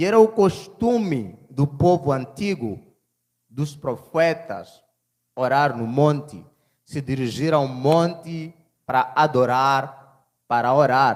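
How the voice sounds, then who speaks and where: A man's voice at a very slow pace with lively intonation. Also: fairly high pitch for a man. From Mozambique. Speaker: preacher. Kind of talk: sermon.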